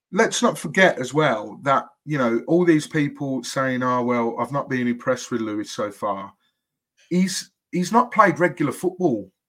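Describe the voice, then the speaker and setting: On a very clean recording with a silent background, a man with a Birmingham accent talks at a moderate pace in a fairly high pitch with lively intonation. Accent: Brummie. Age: 20s. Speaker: football podcast co-host. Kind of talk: casual chat.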